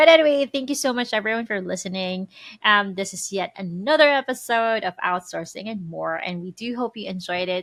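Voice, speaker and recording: Recorded very clean with a silent background and a dry, close sound with no echo, a woman with a slight Filipino accent speaks fairly quickly at medium pitch, her intonation lively and her loudness swinging widely. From Philippines. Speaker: podcast co-host. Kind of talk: casual chat.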